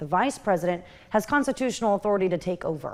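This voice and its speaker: A woman with a plain, everyday voice, medium pitch and a fairly quick pace. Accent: American. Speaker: TV news anchor and reporter. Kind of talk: TV news anchor reel.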